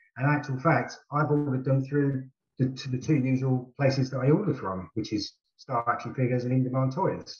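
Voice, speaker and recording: Somewhat breathy, a man with a British accent speaks at a moderate pace. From UK. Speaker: co-host.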